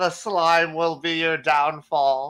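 A man speaks in a put-on character voice with a fairly high pitch. His intonation is monotone and flat. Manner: menacing, glaring.

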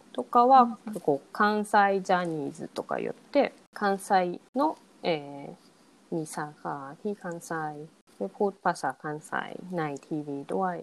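Here a woman with a plain, everyday voice speaks at a fairly low pitch, with lively intonation and big swings in loudness. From Hiroshima, Japan. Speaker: podcast co-host. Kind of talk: casual chat.

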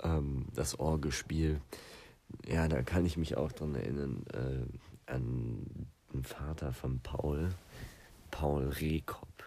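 Very slow and marked by long, frequent pauses, the voice has a dark, mellow tone and fairly even intonation. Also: man, very deep, low pitch for a man. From southern Germany, Lake Constance. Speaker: podcast host. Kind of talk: casual solo podcast chat. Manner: rambling, many fillers.

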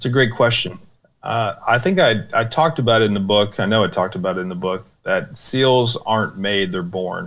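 An ordinary speaking voice from a man with an American accent, fairly low in pitch, at a fairly quick pace with ordinary pitch variation. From United States. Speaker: war veteran. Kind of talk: interview. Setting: video call.

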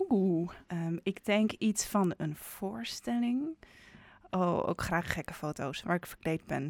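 A woman talks very slowly at a fairly low pitch. The recording is very clean with a silent background, and the sound is dry and close with no echo. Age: 20s. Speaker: musical theatre performer. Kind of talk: casual chat. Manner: halting.

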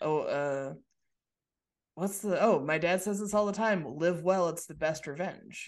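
Fairly low in pitch, a woman talks at a fairly slow pace in an unremarkable speaking voice with ordinary pitch variation. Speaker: podcast host. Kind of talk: casual chat.

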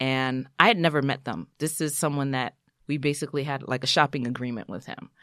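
With a New York accent, a woman speaks fairly quickly in a very deep, low voice with ordinary pitch variation. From New York City (Brooklyn/Queens), Haitian American family. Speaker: physician assistant and TV writer-creator. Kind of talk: casual interview.

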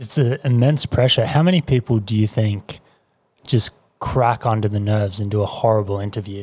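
At a fairly quick pace, the somewhat breathy voice shows ordinary pitch variation in a dry, close sound with no echo. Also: man, fairly low pitch for a man. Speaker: podcast co-host. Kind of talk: casual chat.

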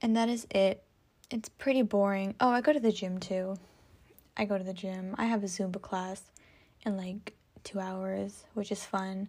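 At a moderate pace with long, frequent pauses, a woman with an American accent speaks at a medium pitch and fairly even intonation on a very clean recording with a silent background. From California. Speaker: podcast host. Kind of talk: casual solo monologue. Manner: rambling, filler-heavy.

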